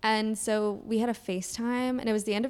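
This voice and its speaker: A woman with a slight Southern US accent, fairly even intonation and a fairly quick pace. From Kentucky. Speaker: podcast co-host. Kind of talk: casual chat.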